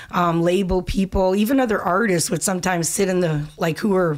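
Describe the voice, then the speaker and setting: A woman speaks at a fairly quick pace with hardly any pauses and very even loudness. Her pitch varies in an ordinary way against a quiet background. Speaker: singer. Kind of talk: interview answer. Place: studio. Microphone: studio mic.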